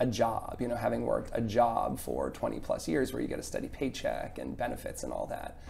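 A man's voice at a fairly quick pace, with audible echo from the room. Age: 40s. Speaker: chef and business owner. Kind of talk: interview.

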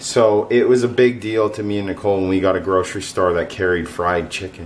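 Light background noise sits behind a man talking at a moderate pace. His pitch is fairly low and varies in an ordinary way. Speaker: food vlogger. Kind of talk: casual vlog chat. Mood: cheerful, chatty. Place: kitchen. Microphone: phone near.

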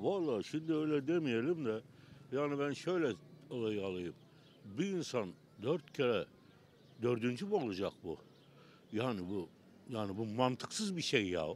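A man speaks fairly slowly with long, frequent pauses and very wide pitch swings, the sound dry with no echo and light background noise. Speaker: passerby interviewee; interviewee. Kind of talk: street vox pop interviews. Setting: outdoors on the street. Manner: animated, opinionated. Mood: indignant, puzzled. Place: street. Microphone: handheld.

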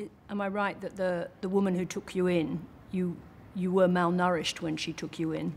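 With an Australian accent, a woman speaks at a moderate pace in a fairly low, monotone voice with flat intonation. Light background noise can be heard. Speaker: TV journalist. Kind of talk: interview. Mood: warm, thoughtful, engaged. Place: home room.

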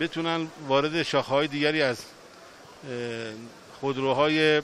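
A man talks at a moderate pace with monotone, flat intonation. The sound is dry with no echo, over light background noise. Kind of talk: interview answer. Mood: proud, formal praise. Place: factory.

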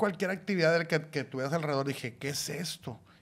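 A man with a fairly high voice speaks at a fairly quick clip, his pitch varying in an ordinary way. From Mexico, Monclova (Coahuila); Coahuila, Mexico. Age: 40s. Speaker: podcast co-host, father; podcast co-host. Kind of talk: casual chat. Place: studio. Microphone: studio mic.

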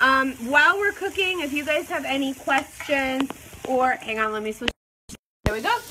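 Raising and projecting her high voice, a woman speaks at a moderate pace with lively intonation and an animated tone. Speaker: cooking show host. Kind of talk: live cooking demo. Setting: live Facebook video in a spice shop. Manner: animated, excitable.

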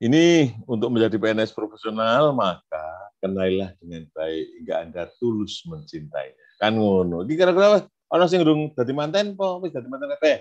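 A man speaks at a fairly quick pace. His pitch swings very widely. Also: medium pitch for a man, quiet background. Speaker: widyaiswara trainer; trainer for civil servant trainees. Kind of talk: lecture. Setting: video call. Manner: casual, code-switching Javanese. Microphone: video call.

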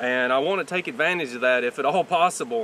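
Lively intonation marks this man's fairly quick speech, recorded dry with no echo over light background noise. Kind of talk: tutorial. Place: farm.

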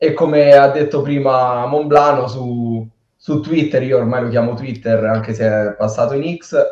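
A man speaks at a medium pitch with ordinary pitch variation, against a quiet background with audible room echo. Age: 20s. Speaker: youth football coach and match analyst; youth football coach, match analyst. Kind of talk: casual live stream chat. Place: home room. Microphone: video call.

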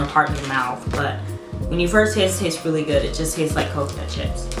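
Clear music plays behind a woman speaking at a fairly quick pace. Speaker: snack reviewer. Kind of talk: casual vlog chat. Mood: relaxed, amused. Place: home room.

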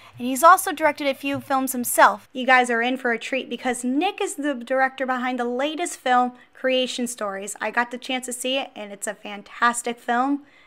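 A woman with an American accent projects a raised, high voice with a bright, sharp tone, speaking fairly quickly with hardly any pauses and ordinary pitch variation. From New Jersey. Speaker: podcast host. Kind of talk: scripted podcast intro.

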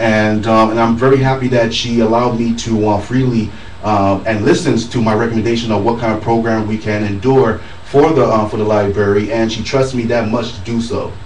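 There is audible room echo and light background noise. A man at medium pitch speaks at a fairly quick pace. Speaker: convention organizer; radio guest. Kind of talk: casual radio chat; interview answer. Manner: upbeat, animated. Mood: pleased, grateful. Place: studio.

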